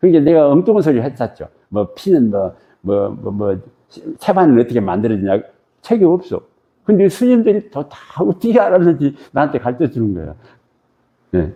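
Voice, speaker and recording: A man's fairly high voice moves at a moderate pace with long, frequent pauses. His pitch swings very widely. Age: 80s+. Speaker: meditation teacher. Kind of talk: lecture. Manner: conversational, repetitive.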